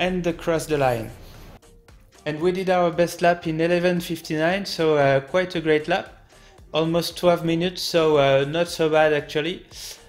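A flat, monotone voice with a French accent at a moderate pace, with music in the background. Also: man, high pitch for a man. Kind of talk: racing game commentary. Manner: hesitant, many fillers.

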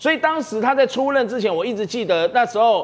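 Noticeable background noise runs under a man speaking with lively intonation. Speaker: political commentator. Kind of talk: TV political talk show panel.

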